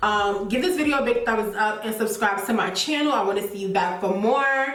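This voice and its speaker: A woman with a New York accent speaks at a fairly high pitch with ordinary variation, amid audible room echo and noticeable background noise. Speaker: beauty YouTuber. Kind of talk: product recommendation vlog. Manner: fast; casual, many fillers like um.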